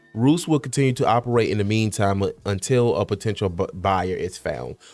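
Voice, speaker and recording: Over music in the background, a man talks at a fairly quick pace with a fairly low pitch. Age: 30s. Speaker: podcast host. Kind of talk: reading aloud. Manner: halting.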